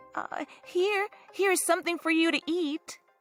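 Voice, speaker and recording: Over music in the background, a woman uses a squeaky, put-on character voice at a moderate pace, with a dry, close sound and no echo. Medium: read story. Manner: hesitant, stammering.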